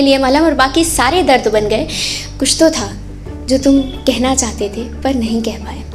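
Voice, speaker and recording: A woman talks with lively intonation at a moderate speed while music sounds in the background. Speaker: spoken word poet. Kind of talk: spoken word poetry performance at open mic. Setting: live open mic stage. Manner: emotional, full of conviction.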